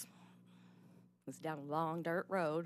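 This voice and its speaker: A woman with a very deep, low pitch speaks in monotone, flat intonation, with a dry sound with no echo and light background noise. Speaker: abuse survivor testifying at legislative hearing; witness. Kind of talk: testimony. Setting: legislative committee hearing room. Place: hall. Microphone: podium.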